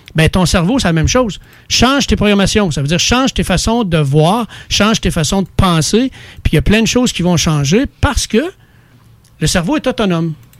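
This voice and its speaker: Someone speaks in a Quebec accent at a moderate pace with lively intonation. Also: man, high pitch for a man. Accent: Québécois French. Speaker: studio guest. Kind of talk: casual chat. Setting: studio.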